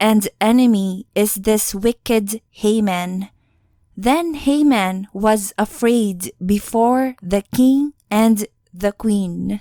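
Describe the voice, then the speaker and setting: With a non-native accent, a woman speaks very slowly in a fairly high voice with a dark, mellow tone and ordinary pitch variation, recorded dry and close with no echo. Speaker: audiobook narrator. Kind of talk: scripture reading.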